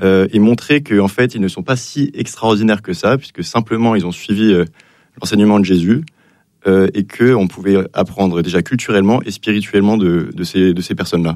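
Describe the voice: A man with a fairly low pitch and a slightly mellow tone talks at a fairly quick pace with ordinary pitch variation.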